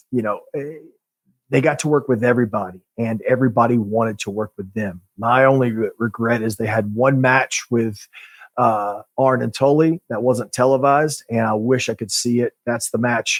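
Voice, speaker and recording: An unremarkable speaking voice from a man, medium in pitch, fairly even in intonation, at a moderate pace, with a dry, close sound and no echo. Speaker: pro wrestler podcast host. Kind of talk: casual podcast chat.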